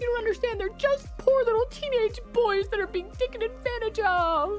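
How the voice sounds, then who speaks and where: A put-on character voice delivers its lines at a moderate pace, thin and whiny in tone. Clear music plays in the background. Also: woman, extremely high pitch for a woman. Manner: mocking, whiny.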